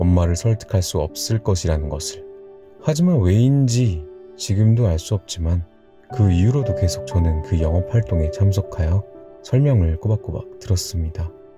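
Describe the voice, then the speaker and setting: A calm, soothing tone with lively intonation at a moderate pace, with music in the background. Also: man. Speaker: storyteller / ASMR narrator. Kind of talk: bedtime story reading, personal childhood anecdote. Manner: calm, soothing, relaxed.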